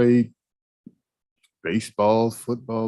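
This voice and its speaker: With an American accent, a man speaks at a very slow pace. His fairly low voice has a dark, mellow tone. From US South, Atlanta, Georgia. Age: 60s. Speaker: trial witness. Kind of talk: witness testimony. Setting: courtroom. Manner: brief, plain answers.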